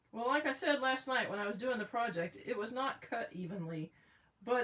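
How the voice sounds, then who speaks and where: With noticeable background noise behind her, a woman speaks in a fairly high pitch with lively intonation. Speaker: craft demonstrator on live stream. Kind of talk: live craft tutorial. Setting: live video stream. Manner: casual.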